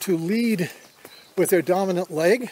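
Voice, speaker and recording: This man's intonation is lively, with noticeable background noise behind him. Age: 70s. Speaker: hiking vlogger. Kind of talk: tutorial. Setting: outdoors. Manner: halting.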